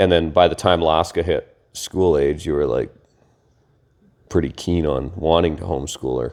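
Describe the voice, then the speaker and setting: A man's very deep, low voice with vocal fry and long, frequent pauses. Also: moderate pace. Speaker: podcast co-host, homeschooling father. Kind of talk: casual chat. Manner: loud.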